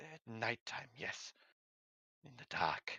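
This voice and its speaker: A raspy, put-on character voice from a man at medium pitch. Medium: actual play. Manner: broken grammar, repetitive, clipped; nervous, repetitive warnings.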